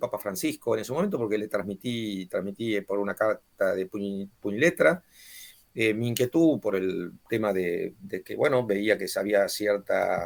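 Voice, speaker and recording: In an Argentine accent, a man speaks at a medium pitch and moderate pace with lively intonation. The recording is very clean, with a silent background. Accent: Argentine Spanish (voseo). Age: 60s. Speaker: author and former mayor. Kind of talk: book presentation talk. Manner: halting, many fillers.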